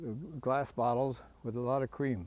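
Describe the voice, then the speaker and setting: This man speaks with an Upper Midwest accent at a moderate pace, his medium-pitched voice dark and mellow in tone. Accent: Upper Midwest (Minnesota). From Minnesota, Fergus Falls. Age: 80s+. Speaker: retired farmer and anniversary celebrant. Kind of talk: casual reminiscence tour. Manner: halting with many fillers.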